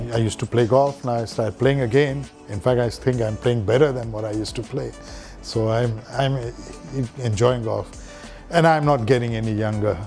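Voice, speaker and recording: A man at a fairly quick pace with fairly even intonation, faint music in the background. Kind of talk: interview answer. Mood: relaxed, reflective, light laughter. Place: home room. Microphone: lapel.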